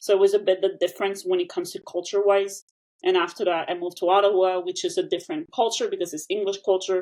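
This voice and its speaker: Talking at a very fast pace with a Quebec accent, a woman keeps a medium pitch and fairly even intonation. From Quebec, small town. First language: French. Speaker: language educator. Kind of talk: interview.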